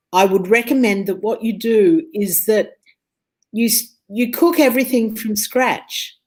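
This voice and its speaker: With an Australian accent, a woman speaks at a fairly slow pace. Her fairly high voice is somewhat breathy. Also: ordinary pitch variation. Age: 60s. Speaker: food and health speaker. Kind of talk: interview chat.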